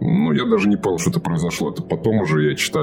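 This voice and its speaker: A man speaks very fast while noticeable background noise carries on. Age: 30s. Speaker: recovering alcoholic sharing his story. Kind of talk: personal testimony interview. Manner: halting, full of fillers.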